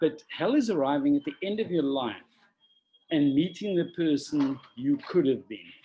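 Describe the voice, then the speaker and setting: Dark and mellow in tone, a man's voice sits at a fairly high pitch with lively intonation. He talks at a moderate pace. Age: 60s. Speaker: extreme adventurer and conservationist. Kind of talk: interview.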